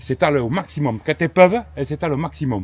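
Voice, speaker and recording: In a fairly high pitch, a man moves along at a fairly quick pace. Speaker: goat and sheep farmer. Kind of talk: casual chat.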